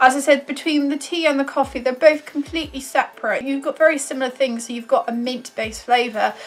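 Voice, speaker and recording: A woman with a British accent talks at a very fast pace in a high voice, with noticeable background noise. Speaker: YouTube reviewer. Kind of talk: casual product review to camera.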